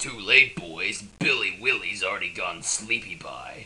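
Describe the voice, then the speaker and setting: This is a put-on character voice with a raspy edge. It moves at a moderate pace. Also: man. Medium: audio drama. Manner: smug, sneering.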